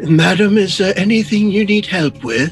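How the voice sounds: Over clear music in the background, a man does a put-on character voice in a high pitch at a moderate pace.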